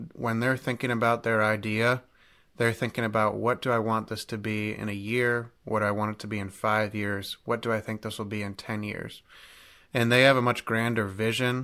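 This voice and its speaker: This man, with an American accent, speaks at a moderate pace in a bright, sharp tone and a medium pitch, his intonation flat and monotone, on a very clean recording with a silent background. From Ohio (Cleveland). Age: young. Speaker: entrepreneur and podcast host. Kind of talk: interview.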